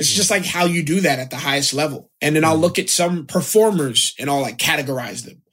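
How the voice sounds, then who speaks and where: With an American accent, a man uses a plain, everyday voice with a fairly high pitch and ordinary pitch variation. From US South, South Florida. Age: 20s. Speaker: actor. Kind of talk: casual chat.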